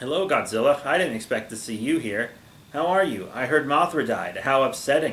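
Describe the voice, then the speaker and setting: Putting on a character voice, a man growls at a fairly high pitch and a fairly quick pace. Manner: growling, mock-sympathetic.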